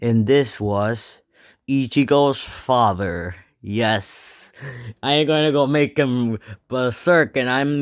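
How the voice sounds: Someone speaks in a natural reading voice with ordinary pitch variation. The background is quiet.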